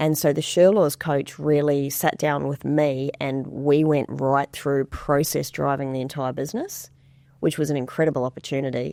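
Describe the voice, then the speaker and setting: A woman with a slight New Zealand accent speaks at a moderate pace. Her voice is very deep and low, with a dark, mellow tone and fairly even intonation. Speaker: financial advisor. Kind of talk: podcast interview.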